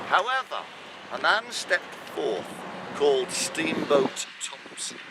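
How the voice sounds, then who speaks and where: A man's high-pitched voice is heard through noticeable background noise. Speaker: town crier, walking tour guide. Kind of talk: walking tour guide talk, storytelling to a group. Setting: outdoors, walking tour.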